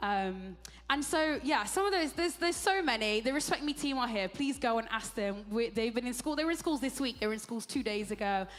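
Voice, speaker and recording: A woman talks at a fairly quick pace with hardly any pauses, her high-pitched voice animated and her intonation lively. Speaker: ministry leader. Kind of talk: on-stage interview. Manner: fast.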